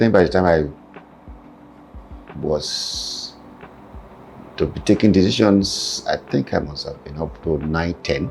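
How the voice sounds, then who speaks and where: A man with a Nigerian accent talks at a fairly slow pace in a very deep, low voice, leaving long, frequent pauses. Music plays in the background. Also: ordinary pitch variation, big swings in loudness. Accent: Nigerian (Yoruba) English. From Nigeria, Kwara (Yoruba area). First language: Yoruba (first spoke Hausa). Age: 70s. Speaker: father telling his life story. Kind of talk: family interview. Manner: halting.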